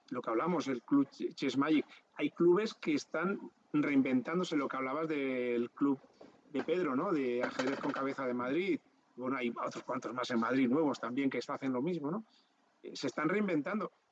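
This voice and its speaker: A man with a normal speaking voice talks at a moderate pace and a fairly high pitch, with ordinary pitch variation, in a dry, close sound with no echo. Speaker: interviewer. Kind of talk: interview.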